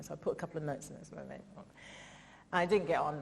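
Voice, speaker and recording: A woman talks with an English accent. Her pace is very fast. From England. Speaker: comedian and writer. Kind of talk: festival interview talk. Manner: animated.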